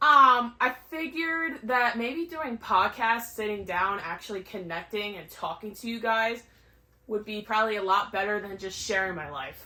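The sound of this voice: A woman talks at a fairly slow pace in a bright, sharp tone with ordinary pitch variation.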